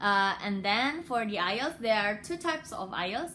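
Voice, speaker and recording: A woman's fairly high, bright, sharp voice in an Indonesian accent, with lively intonation. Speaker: international graduate vlogger. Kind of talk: casual tutorial vlog. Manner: hesitant, many fillers.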